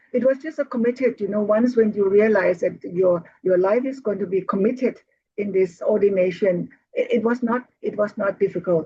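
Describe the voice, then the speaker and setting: A woman speaks at a fairly high pitch and a moderate pace, somewhat breathy. Her pitch variation is ordinary. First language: Thai. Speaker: Buddhist nun and teacher. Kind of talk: interview. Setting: video call.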